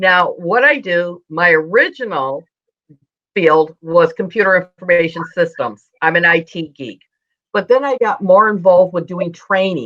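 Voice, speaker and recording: An unremarkable speaking voice from a woman with an American accent, fairly low in pitch, with lively intonation at a fairly slow pace. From United States. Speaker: speaking coach and trainer. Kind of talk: interview.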